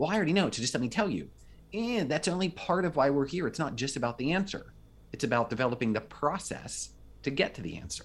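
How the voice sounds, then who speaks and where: A man at a very fast pace, fairly high-pitched, with vocal fry and very wide pitch swings. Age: 40s. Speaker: communication professor and coach. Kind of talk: casual interview chat.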